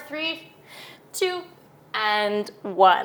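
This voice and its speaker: A woman speaks in a calm tone. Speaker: yoga teacher. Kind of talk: guided yoga class instruction. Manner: calm, encouraging.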